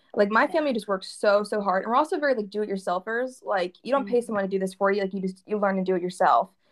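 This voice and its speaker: A woman's medium-pitched voice at a very fast pace, with hardly any pauses and ordinary pitch variation. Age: 20s. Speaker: clothing entrepreneur. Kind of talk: casual interview chat.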